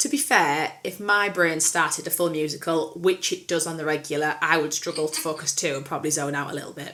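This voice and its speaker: In an English accent, a woman talks at a fairly quick pace with hardly any pauses and a very deep, low pitch. Her intonation is fairly even, and background noise is noticeable. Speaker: podcast co-host. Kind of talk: casual chat. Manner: fast.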